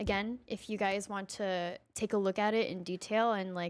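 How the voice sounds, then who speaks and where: A woman with a plain, everyday voice speaks at a medium pitch in a very clean recording with a silent background. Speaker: software developer. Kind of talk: casual chat.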